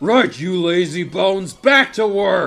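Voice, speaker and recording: Faint music plays behind a shouting put-on character voice moving at a fairly slow pace. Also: man. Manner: booming, shouted.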